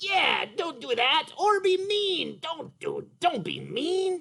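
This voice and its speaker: A man's cartoonish character voice, extremely high in pitch and very slow. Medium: puppet. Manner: hesitant.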